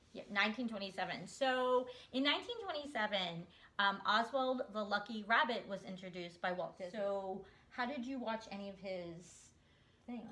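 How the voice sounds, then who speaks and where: Clearly audible background noise runs beneath speech delivered at a medium tempo. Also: woman, medium pitch for a woman, ordinary pitch variation. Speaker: Disney content creator. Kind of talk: casual talk to camera, interview-style chat with grandmother.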